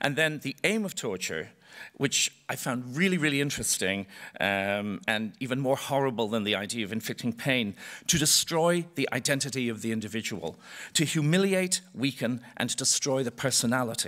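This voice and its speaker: A man with an Irish accent talks at a moderate pace with lively intonation and a bright, sharp tone against a quiet background. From Ireland. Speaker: choreographer. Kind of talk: panel talk. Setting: stage with audience. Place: stage. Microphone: podium.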